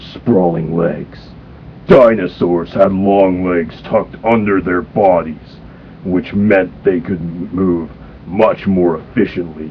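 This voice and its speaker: A man in a stern, cartoonish character voice speaks fairly slowly at a very deep, low pitch, with clear background noise. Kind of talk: cartoon impression. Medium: read story. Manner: gruff, stern.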